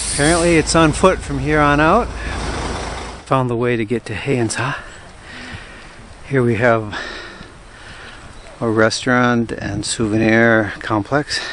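With light background noise and a dry sound with no echo, a man speaks at a fairly slow pace with long, frequent pauses and ordinary pitch variation. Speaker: travel vlogger. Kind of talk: casual vlog narration. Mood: cheerful, curious. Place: open country. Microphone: phone near.

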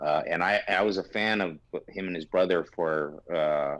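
This man's voice sits at a very deep, low pitch, and his intonation stays fairly even. He talks at a moderate pace in a dry sound with no echo. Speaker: remote podcast guest. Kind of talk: interview answer. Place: home room.

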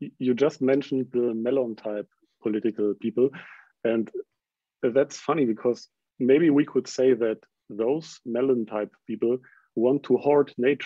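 With a German accent, the speaker talks at a fairly slow pace with long, frequent pauses, in a dry sound with no echo against a quiet background. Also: man, medium pitch for a man, fairly even intonation. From Germany. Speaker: podcast interviewer. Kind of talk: interview. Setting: video call. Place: home room. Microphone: video call.

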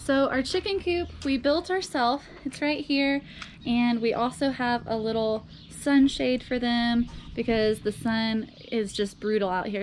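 A woman speaks at a moderate pace with ordinary pitch variation. Light background noise can be heard. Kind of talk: casual tour vlog. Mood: cheerful, laughing. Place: garden. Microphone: phone near.

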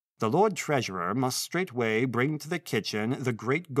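Lively intonation marks this plain reading aloud.

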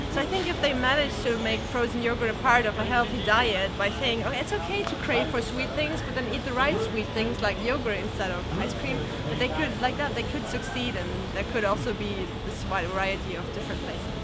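A woman speaks at a fairly quick pace while clear music plays in the background. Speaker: interviewee. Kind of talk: interview answer. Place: street.

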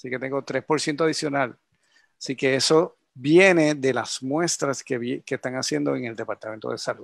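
The speech moves at a moderate pace with ordinary pitch variation, captured dry and close with no echo against a quiet background. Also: man, medium pitch for a man. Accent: Puerto Rican. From Puerto Rico, Yauco. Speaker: scientist researcher. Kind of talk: expert interview explaining data.

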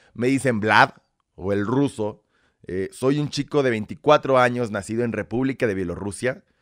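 Against a quiet background, a man talks at a fairly slow pace. His pitch varies in an ordinary way. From Belarus, raised in Mexico. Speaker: content creator. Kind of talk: casual chat. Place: studio. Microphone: studio mic.

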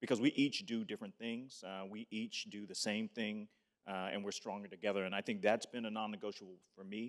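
Over a quiet background, a man with a plain, everyday voice talks at a fairly quick pace in a fairly low pitch, his intonation fairly even but his loudness swinging widely. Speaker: nonprofit civic leader. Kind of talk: panel discussion. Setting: stage with microphone and audience. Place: hall. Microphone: handheld.

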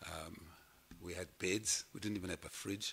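Over light background noise, a man with a very deep, low pitch and a bright, sharp tone talks at a fairly slow pace in a monotone, flat intonation. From South Africa. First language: German. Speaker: guest. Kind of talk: personal speech. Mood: reflective, wry storytelling. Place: hall. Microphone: podium.

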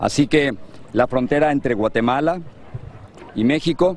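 The sound is dry with no echo, with light background noise. A man speaks at a moderate pace with lively intonation. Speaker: TV news reporter. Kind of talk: live news report.

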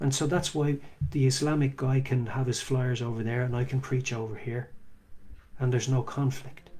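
A man talks at a moderate pace in a dark, mellow tone that is somewhat breathy. His intonation is monotone and flat, over light background noise. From Ireland. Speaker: street preacher. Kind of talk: casual monologue talk. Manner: halting. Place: home room. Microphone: earbuds.

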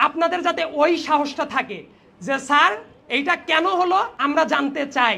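A man speaks in a raised, projected voice at an extremely high pitch, his tone bright and sharp. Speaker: invited debate speaker. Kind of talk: prepared debate speech.

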